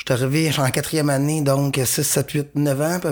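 A man with a Quebec accent and a medium pitch, over noticeable background noise. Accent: Québécois French. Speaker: comedian. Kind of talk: casual chat. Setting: studio.

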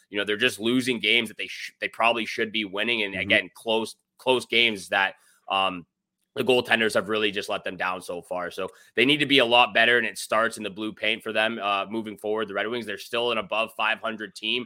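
Here a man with a fairly low pitch and a bright, sharp tone speaks at a fairly quick pace. His intonation is fairly even, and the recording is very clean with a silent background. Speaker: fantasy hockey podcast co-host. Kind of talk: casual sports talk and betting breakdown.

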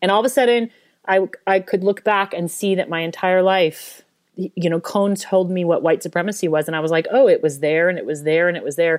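With a normal speaking voice, a woman talks at a fairly quick pace and a medium pitch, using ordinary pitch variation. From US, Denver, Colorado. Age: 40s. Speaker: author and professor. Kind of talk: interview. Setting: remote call.

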